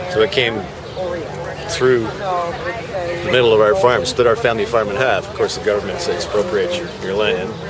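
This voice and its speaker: A man's medium-pitched voice at a moderate pace, with very wide pitch swings, audible room echo and music in the background. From Ontario, Canada (Burlington). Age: 60s. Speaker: farmer. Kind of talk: interview. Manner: halting, many fillers.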